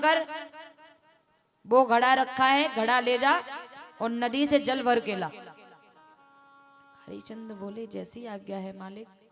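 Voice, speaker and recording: A woman projects her raised voice with lively intonation. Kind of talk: devotional storytelling (katha) narration.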